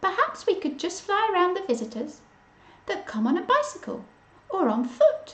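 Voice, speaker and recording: A woman's put-on character voice at an extremely high pitch, with very wide pitch swings and a moderate pace. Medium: read story.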